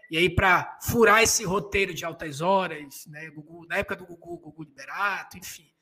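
The speaker keeps a moderate pace with hardly any pauses, the loudness swinging widely while the intonation stays fairly even. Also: man, high pitch for a man. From Belém, Pará. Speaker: podcast host. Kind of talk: casual chat. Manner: halting.

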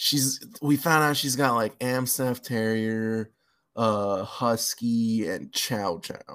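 With an American accent, a man talks at a very slow pace in a medium pitch. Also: ordinary pitch variation. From California (LA and Bay Area), Mexican parents. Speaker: stand-up comedian. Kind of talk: casual chat.

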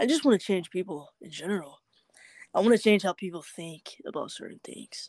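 On a very clean recording with a silent background, a normal speaking voice moves at a fairly quick pace with lively intonation and big swings in loudness. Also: woman, medium pitch for a woman. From Georgia (US South). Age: 20s. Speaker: live streamer. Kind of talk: casual interview.

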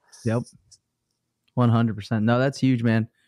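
A man talks in a dark, mellow tone. The sound is dry and close, with no echo. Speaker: podcast co-host. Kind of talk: casual live show. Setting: live stream.

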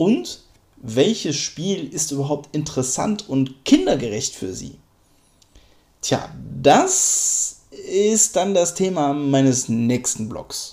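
A man with a fairly high pitch and a dark, mellow tone, lively intonation, a very slow pace, and long, frequent pauses. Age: 30s. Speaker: podcaster and gaming dad. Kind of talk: casual monologue. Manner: hesitant with fillers.

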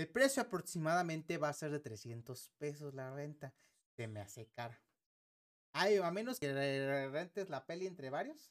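Here a man speaks with a Mexican accent and a fairly high pitch. His intonation is lively and his pace is moderate. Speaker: tech podcast co-host. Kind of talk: casual chat.

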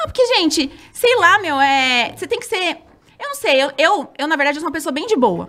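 At an extremely high pitch, a woman uses a raised, projected voice with a bright, sharp tone, very wide pitch swings and a fairly quick pace. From São Roque, interior of São Paulo state, Brazil. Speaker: former TV dancer and reality show contestant. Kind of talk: casual interview chat.

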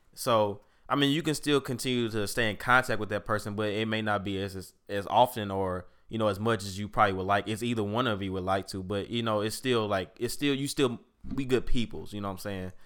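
A man with an American accent and a normal speaking voice, fairly low pitch, ordinary pitch variation and a fairly quick pace, on a very clean recording with a silent background. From St. Louis, Missouri. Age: 20s. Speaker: podcast co-host. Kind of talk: casual chat.

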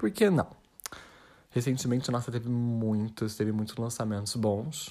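Dark and mellow in tone, a man's voice at medium pitch moves at a moderate pace with fairly even intonation. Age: 20s. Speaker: podcaster. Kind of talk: casual monologue. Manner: rambling, halting with repetitions.

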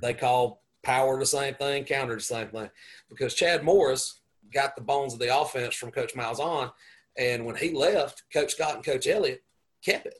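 Somewhat breathy and fairly high, a man's voice with a Southern US accent moves at a moderate pace, with ordinary pitch variation and big swings in loudness. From US South, upstate South Carolina. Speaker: high school football coach. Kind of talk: casual chat.

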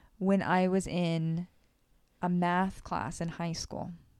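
A woman's fairly low voice with an American accent, monotone and flat, at a very slow pace in a very clean recording with a silent background. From South Florida. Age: 30s. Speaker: podcast co-host. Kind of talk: casual chat.

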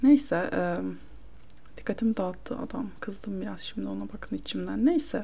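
A woman speaks at a moderate pace, her loudness swinging widely. Room echo is audible. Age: 20s. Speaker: solo podcaster. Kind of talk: casual monologue. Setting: home, her bedroom. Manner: casual, self-interrupting.

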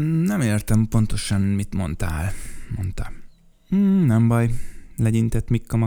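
This clip features reading aloud in a natural voice.

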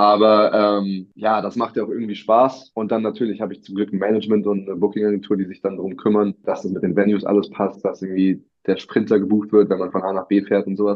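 A man talks at a very fast pace in a fairly low pitch, his intonation monotone and flat, with hardly any pauses. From Berlin, Germany. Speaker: singer-songwriter. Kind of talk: interview. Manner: casual.

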